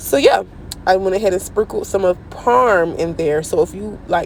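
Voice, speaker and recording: Over noticeable background noise, a woman speaks at a fairly slow pace in an animated tone. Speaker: home cooking channel host. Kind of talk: cooking tutorial.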